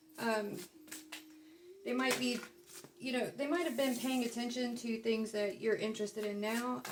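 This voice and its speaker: A woman speaks with an American accent and fairly even intonation. Noticeable background noise is present. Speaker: tarot reader. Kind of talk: casual tarot reading monologue. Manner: casual, with many fillers.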